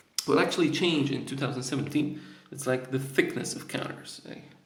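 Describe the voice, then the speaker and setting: A man talks with a Polish accent. Room echo is audible. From Poland. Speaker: board game reviewer. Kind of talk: unboxing video. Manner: casual, hesitant with fillers.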